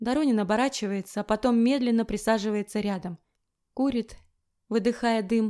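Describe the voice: Here is plain reading aloud with fairly even intonation. The background is quiet.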